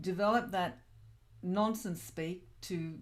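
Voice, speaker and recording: Audible room echo surrounds a woman speaking very slowly. Her pitch varies in an ordinary way. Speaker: spiritual teacher and channeler. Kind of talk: online class lesson.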